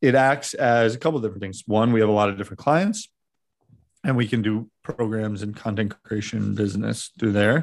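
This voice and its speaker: A man speaks in a plain, everyday voice at a medium pitch. His pitch variation is ordinary, and the background is quiet. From New Jersey, Montclair. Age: 30s. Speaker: media company general manager. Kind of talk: casual chat.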